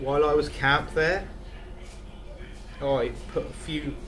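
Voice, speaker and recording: Fairly slow speech from a man, with audible room echo and noticeable noise behind him. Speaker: YouTuber telling a camping story. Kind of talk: storytelling by the fire. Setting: indoors beside a wood stove. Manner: casual, conversational.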